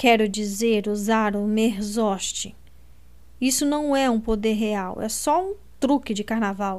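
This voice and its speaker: Dramatic in tone, a woman speaks at a very slow pace, her fairly high pitch moving with ordinary variation. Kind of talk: literary audiobook reading, first-person narration of Lina with dialogue. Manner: dramatic, expressive narration; shifts tone for each character's lines.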